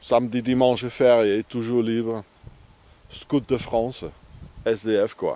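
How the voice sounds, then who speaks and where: A man's very slow, monotone delivery with a dark, mellow tone, long and frequent pauses, and a dry sound free of echo. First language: not French (speaking French). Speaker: vagabond vlogger. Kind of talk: outdoor video diary. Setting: outdoors. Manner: halting. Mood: grumbling, opinionated. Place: open country. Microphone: phone near.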